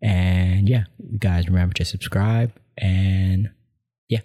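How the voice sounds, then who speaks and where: In a very clean recording with a silent background, a man speaks with a very deep, low pitch, a dark, mellow tone and a somewhat breathy sound. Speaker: podcast host. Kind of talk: casual conversation.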